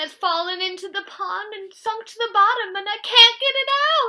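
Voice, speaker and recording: A woman uses a put-on character voice at an extremely high pitch, raised and projected, with big swings in loudness at a moderate pace. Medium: read story.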